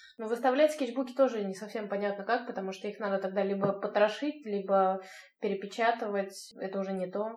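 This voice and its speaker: A woman with an unremarkable speaking voice talks at a fairly quick pace and a medium pitch. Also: ordinary pitch variation. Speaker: podcast host. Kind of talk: casual interview. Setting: video call.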